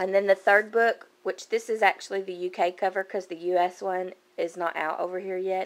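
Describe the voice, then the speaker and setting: In a Kentucky accent, a woman talks at a fairly quick pace with medium pitch and fairly even intonation on a very clean recording with a silent background. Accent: Kentucky accent, noticeable. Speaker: book vlogger. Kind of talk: casual chat. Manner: casual, hesitant with many fillers.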